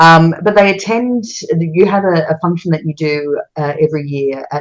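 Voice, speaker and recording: A woman talks at a moderate pace with an Australian accent. Her voice is very deep and low, with ordinary pitch variation. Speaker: radio host. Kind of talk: interview.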